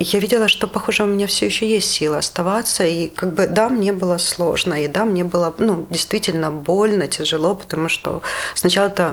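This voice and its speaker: Speaking at a fairly quick pace, a woman with a fairly low pitch uses ordinary pitch variation over noticeable background noise. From Luhansk, eastern Ukraine. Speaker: psychologist and human rights worker. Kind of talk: personal testimony interview.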